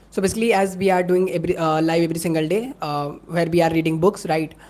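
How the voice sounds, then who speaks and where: A woman's fairly low pitch at a fairly quick pace, with fairly even intonation. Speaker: content creator. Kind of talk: live stream. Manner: fast; halting.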